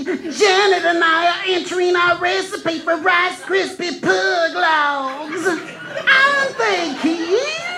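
In a put-on character voice at an extremely high pitch, the speaker goes at a very slow pace with hardly any pauses, over loud background noise. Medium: audio drama.

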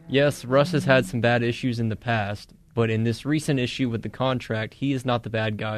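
In an ordinary speaking voice, a man talks at a fairly quick pace and a medium pitch, with fairly even intonation and big swings in loudness. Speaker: radio co-host. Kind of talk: casual sports talk banter.

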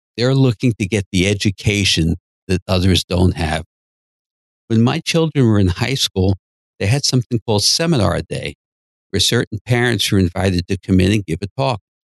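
With a dry, close sound, no echo and a quiet background, a man speaks at a moderate pace. His fairly low pitch carries lively intonation in an unremarkable speaking voice. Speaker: psychotherapist and podcast host. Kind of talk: educational talk and counseling conversation.

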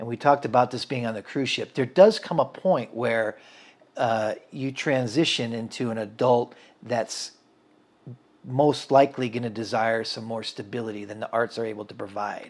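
A man with an American accent and an ordinary speaking voice, medium in pitch, at a moderate pace, with big swings in loudness. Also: ordinary pitch variation. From central Washington State, US. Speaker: photographer, videographer and musician. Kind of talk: casual interview chat.

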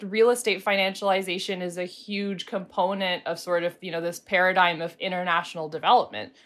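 An American-accented woman with an unremarkable speaking voice talks at a fairly quick pace, hardly pausing, her loudness swinging widely. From Pittsburgh, Western Pennsylvania. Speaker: housing advocacy director. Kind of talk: panel discussion.

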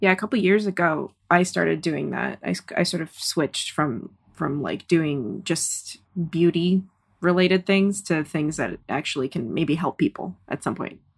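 A woman's fairly low voice with an American accent, vocal fry, ordinary pitch variation and a moderate pace. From Kazakhstan, moved to US at seven. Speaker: filmmaker. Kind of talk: casual interview chat. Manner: frequent filler 'like'.

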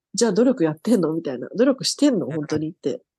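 A woman's dark, mellow voice swings very widely in pitch, recorded with a dry, close sound and no echo. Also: quiet background. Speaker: police officer. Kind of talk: interview.

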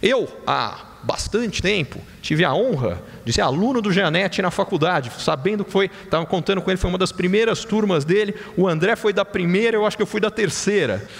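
A fairly quick pace and ordinary pitch variation amid noticeable background noise. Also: man, high pitch for a man. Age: 40s. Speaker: economist. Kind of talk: conference talk.

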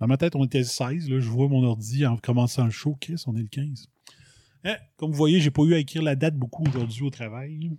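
A man's fairly high, somewhat breathy voice with a dark, mellow tone, in a Quebec accent, at a fairly quick pace with ordinary pitch variation, on a very clean recording with a silent background. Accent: Québécois French. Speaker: podcast host. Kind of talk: solo commentary monologue. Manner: casual, animated.

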